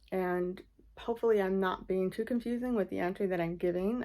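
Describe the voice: A woman speaks with fairly low pitch. Her tone is slightly mellow.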